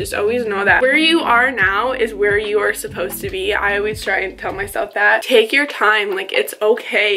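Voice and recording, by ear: A woman speaks at a moderate pace in a bright, sharp tone with ordinary pitch variation. Faint background noise can be heard.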